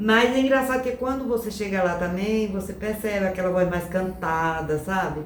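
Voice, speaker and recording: Audible room echo surrounds a woman's voice. She talks at a moderate pace, with ordinary pitch variation. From Northeast Brazil, Rio Grande do Norte. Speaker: migrant interviewee. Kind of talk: casual interview.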